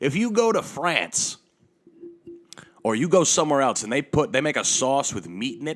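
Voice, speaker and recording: The tone is animated, with very wide pitch swings. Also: man. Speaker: podcast host. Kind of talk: casual monologue rant. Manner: animated, profane.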